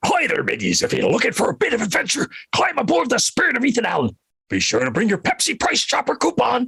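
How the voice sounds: A man rushes along at a very fast pace in a raspy put-on character voice pitched extremely high.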